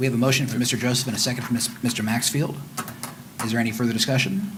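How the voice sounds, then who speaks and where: Very fast and at a medium pitch, a man talks with very even loudness. There is audible room echo and noticeable background noise. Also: ordinary pitch variation. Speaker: mayor chairing city council. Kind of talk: council meeting.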